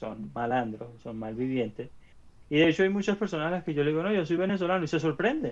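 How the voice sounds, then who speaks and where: Talking at a very fast pace over a quiet background, a man uses lively intonation and a fairly high pitch. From Venezuela. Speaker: podcast co-host. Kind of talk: casual chat. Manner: halting, many repeated syllables.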